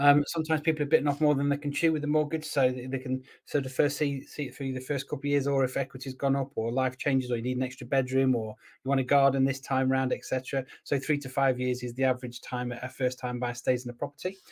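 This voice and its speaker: Speaking very fast with hardly any pauses, the voice carries an East Midlands accent and monotone, flat intonation. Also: man, medium pitch for a man. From England, Lincoln. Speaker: estate agent and show host. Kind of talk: live show discussion. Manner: conversational, filler-heavy.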